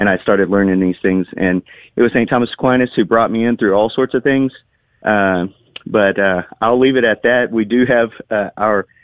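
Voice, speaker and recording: With a plain, everyday voice, a man speaks at a moderate pace and fairly low pitch, his intonation fairly even and his loudness very even. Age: 40s. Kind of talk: radio interview.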